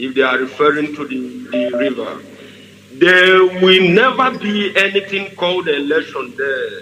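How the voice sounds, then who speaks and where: Over noticeable background noise, a man with a Nigerian accent speaks at a fairly slow pace and a high pitch, with lively intonation. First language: Igbo. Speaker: radio broadcaster. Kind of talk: political broadcast. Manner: halting; forceful.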